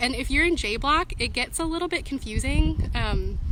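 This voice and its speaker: Here a woman speaks with an American accent. The room echo is audible, and background noise is noticeable. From US Pacific Northwest. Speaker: student union representative. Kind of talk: live-stream Q&A. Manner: fast; casual, filler-heavy.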